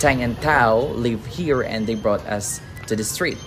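The speech moves at a very slow pace while faint music plays in the background. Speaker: travel vlogger. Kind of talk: casual vlog chat. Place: street. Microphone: phone near.

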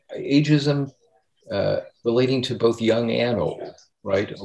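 Somewhat breathy, a man speaks in an American accent. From United States. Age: 60s. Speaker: aging think tank chair; speaker. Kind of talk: moderated discussion. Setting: video call. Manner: halting, many repetitions. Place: home room. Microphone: webcam.

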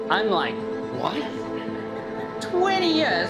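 Loud music plays in the background as a man speaks. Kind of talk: wedding speech. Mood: humorous, warm storytelling. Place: hall. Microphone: handheld.

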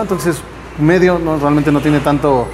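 A man at a very fast pace, with light background noise. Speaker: wine tasting host. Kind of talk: tasting commentary. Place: cafe.

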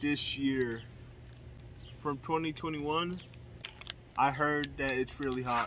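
A man speaks at a very slow pace with fairly even intonation. The sound is dry with no echo, and there is light background noise. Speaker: youtuber. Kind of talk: casual vlog chat. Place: garden. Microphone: phone near.

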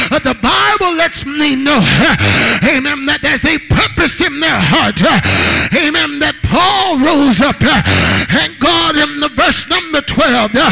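A man's raised, projected voice at an extremely high pitch, very slow pace and ordinary pitch variation, with light background noise. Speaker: guest preacher. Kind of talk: rousing call-and-response Pentecostal sermon. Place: church. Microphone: handheld.

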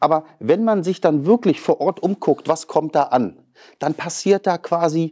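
Against a quiet background, a man speaks very slowly in a dark, mellow tone. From northern Germany, Western Pomerania (near Pasewalk); Western Pomerania, Germany. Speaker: politician, member of parliament and lawyer; politician guest. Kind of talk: interview; interview answer. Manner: hesitant, many filler sounds. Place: studio. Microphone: lapel.

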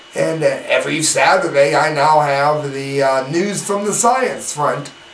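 A man speaks with lively intonation over light background noise, with audible room echo. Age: 40s. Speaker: online news commentator. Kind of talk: news commentary. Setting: live webcam broadcast.

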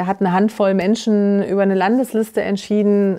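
Against a quiet background, the voice has a dark, mellow tone, fairly even intonation and a moderate pace. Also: woman. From Thuringia, eastern Germany. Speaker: politician, lead candidate; politician, candidate. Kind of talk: political interview. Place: studio. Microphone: lapel.

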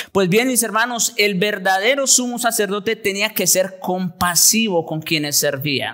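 A man's raised, projected voice, high in pitch with ordinary variation, at a fairly slow pace over a quiet background. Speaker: pastor. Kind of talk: sermon. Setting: church. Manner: formal, teacherly, expository; earnest, emphatic.

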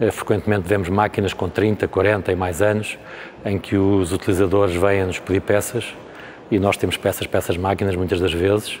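Fairly low-pitched, a man talks at a moderate pace in a monotone, flat intonation with very even loudness. Light background noise sits behind him. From Portugal. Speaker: company representative. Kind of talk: interview at trade fair; interview answer. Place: hall.

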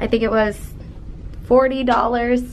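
The speech moves at a fairly slow pace, with light background noise behind it. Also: woman. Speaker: travel vlogger. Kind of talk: casual vlog chat. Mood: cheerful, chatty. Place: home room. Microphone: phone near.

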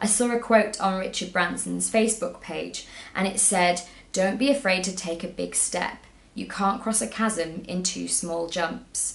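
Upbeat in tone, a woman speaks at a fairly slow pace with ordinary pitch variation. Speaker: travel blogger and YouTuber. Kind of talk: motivational pep talk to camera, timed at 60 seconds. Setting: video recorded to camera, solo. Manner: upbeat, encouraging, earnest; brisk, timed, direct. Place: home room.

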